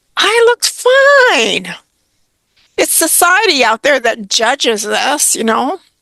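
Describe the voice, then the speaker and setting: A woman speaks very slowly in a high, bright and sharp voice that is raised and projected, with very wide pitch swings, recorded dry and close with no echo. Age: 70s. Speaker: retirement coach. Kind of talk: interview. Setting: podcast interview.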